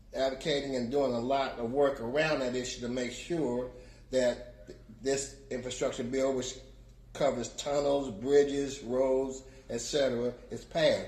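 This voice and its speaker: Audible room echo surrounds a man speaking at a moderate pace and a medium pitch. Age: 70s. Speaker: community advocate. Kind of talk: testimony. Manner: halting.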